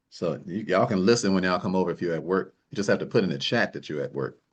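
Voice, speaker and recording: A man speaks very fast in a very deep, low voice with ordinary pitch variation. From US Midwest, Chicago South Side. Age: 60s. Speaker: wealth coach. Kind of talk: online class. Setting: video call livestream. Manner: animated.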